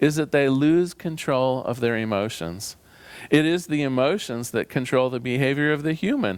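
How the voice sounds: Ordinary pitch variation marks a natural reading voice.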